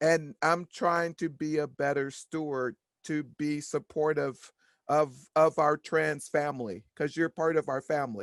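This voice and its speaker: Against a quiet background, a woman with a very deep, low voice speaks at a fairly slow pace and fairly even intonation, in a dry, close sound with no echo. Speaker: workshop participant. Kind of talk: casual chat. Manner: halting.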